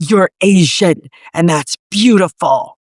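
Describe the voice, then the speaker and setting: A put-on character voice growls with an intense tone at a middle pitch and a fairly slow pace. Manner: intense, emphatic.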